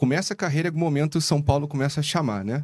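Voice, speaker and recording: Very fast and fairly high in pitch, a man's voice comes through. The background is silent on this very clean recording. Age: 30s. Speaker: investment fund founder. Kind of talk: casual chat.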